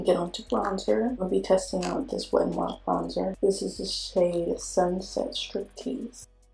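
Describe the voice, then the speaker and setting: Someone speaks at a moderate pace with music playing in the background. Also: woman. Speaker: beauty vlogger. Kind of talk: makeup tutorial talk to camera.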